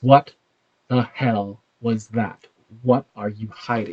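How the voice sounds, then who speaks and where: A man's put-on character voice at medium pitch, with fairly even intonation and a fairly slow pace. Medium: actual play. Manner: close, pressing.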